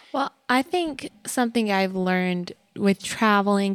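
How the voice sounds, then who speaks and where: A plain, everyday voice: a woman of medium pitch with an American accent, at a fairly slow pace, in a dry, close sound with no echo and a very clean recording with a silent background. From Texas. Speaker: family podcast co-host. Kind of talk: casual chat.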